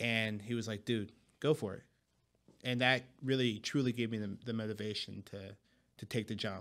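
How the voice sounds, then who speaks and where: Long, frequent pauses break up this man's moderate pace. His voice sits at a medium pitch with fairly even intonation. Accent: Philadelphia. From Philadelphia, US. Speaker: financial advisor. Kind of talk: podcast interview, casual chat.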